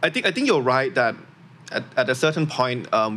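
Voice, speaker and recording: Pitched at a medium level, the man talks at a fairly quick pace. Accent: Thai. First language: Thai. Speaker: education startup founder. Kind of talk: interview.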